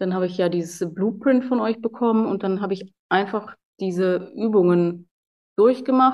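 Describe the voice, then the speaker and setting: A woman speaks in a plain, everyday voice at a moderate pace, her medium pitch held to a fairly even intonation. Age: 30s. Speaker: professional soldier and personal trainer. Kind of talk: interview testimony.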